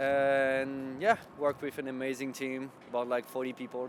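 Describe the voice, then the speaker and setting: Speaking in a French accent, a man keeps a medium pitch and a moderate pace. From France. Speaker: web developer. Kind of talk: interview.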